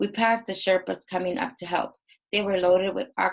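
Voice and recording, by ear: Someone reads aloud in a natural voice. Nothing much can be heard behind it.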